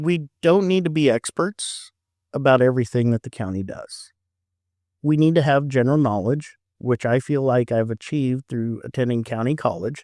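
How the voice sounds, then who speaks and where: The speaker has a normal speaking voice, with ordinary pitch variation at a moderate pace. The sound is dry and close, with no echo. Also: man, medium pitch for a man, very clean recording, silent background. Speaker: county commissioner and auctioneer. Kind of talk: podcast interview answer. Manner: casual, conversational.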